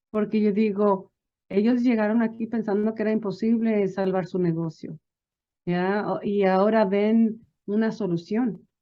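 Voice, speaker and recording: A woman with a slight non-native accent speaks with fairly even intonation. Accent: non-native-sounding Spanish, slight. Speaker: small business advisor. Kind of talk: interview. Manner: many fillers and restarts.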